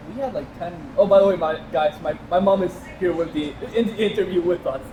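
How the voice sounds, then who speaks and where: Noticeable background noise behind a man's high voice, fairly quick, with ordinary pitch variation. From Puerto Rico. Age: 20s. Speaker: podcast host. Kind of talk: casual interview. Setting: in-person studio with two microphones.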